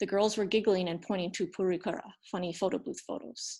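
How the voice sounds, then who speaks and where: A somewhat breathy woman's voice on a very clean recording with a silent background. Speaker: former English teacher in Japan, storyteller. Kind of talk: reading aloud. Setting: storytelling event.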